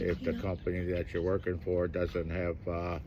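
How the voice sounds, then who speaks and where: A man with a very deep, low voice speaks at a moderate pace, and the room echo is audible. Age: 60s. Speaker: iron worker and fancy dance champion. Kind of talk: interview. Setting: outdoors at a powwow. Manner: halting, many fillers.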